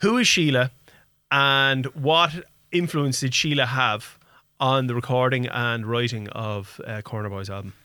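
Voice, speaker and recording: A man with an Irish accent speaks at a fairly slow pace, his medium pitch showing ordinary pitch variation. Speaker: radio host. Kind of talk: casual radio interview. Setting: radio studio.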